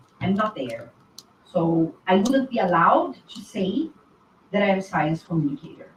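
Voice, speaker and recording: A woman at medium pitch speaks at a moderate pace with very wide pitch swings. Her loudness swings a lot, and there is noticeable background noise. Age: 40s. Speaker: linguist and science communicator on YouTube. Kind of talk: conference talk.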